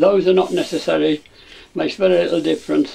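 A man at a very fast pace, with light background noise. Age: 90s. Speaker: inventor. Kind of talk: tutorial. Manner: halting. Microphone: camera far.

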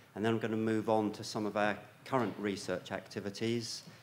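A man's fairly low voice with audible room echo. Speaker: plant science researcher. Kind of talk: conference lecture. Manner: hesitant, many fillers.

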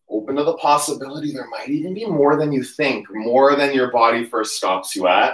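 Over a quiet background with audible room echo, a man with a fairly high pitch speaks at a moderate pace in a calm tone. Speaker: yoga instructor. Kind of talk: livestream yoga class, guided cueing. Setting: home livestream. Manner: calm, steady, instructional cueing with breath-paced commands; casual, chatty, upbeat. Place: home room. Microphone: camera far.

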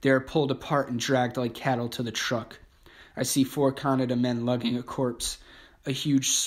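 Plain reading aloud in a natural voice

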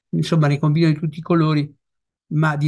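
Somewhat breathy and dark, mellow in tone, a man speaks at a fairly high pitch against a quiet background. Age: old. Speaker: retired family doctor. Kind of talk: talk presentation. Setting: video call. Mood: critical, mildly indignant. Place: home room. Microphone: video call.

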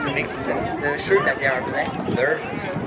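A man speaks with crowd noise in the background. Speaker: aquarium guide. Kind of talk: bilingual guided tour commentary. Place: waterside. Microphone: pa.

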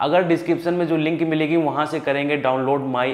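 There is faint background noise as a man speaks.

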